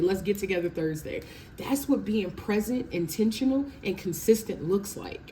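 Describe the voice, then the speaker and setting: A woman speaks in an animated tone at a medium pitch, her intonation lively, with noticeable background noise behind her. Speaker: tarot reader. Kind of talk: tarot reading. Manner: fast.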